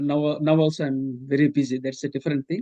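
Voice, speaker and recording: Here a man speaks fairly quickly at a fairly high pitch, his tone dark and mellow. The sound is dry and close, with no echo. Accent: Indian. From India. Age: 60s. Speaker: professor and author. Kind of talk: interview. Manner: halting, many fillers.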